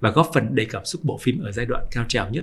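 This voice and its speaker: A man talks at a fairly quick pace and a medium pitch. His voice is somewhat breathy. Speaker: podcast host and journalist. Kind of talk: scripted narration.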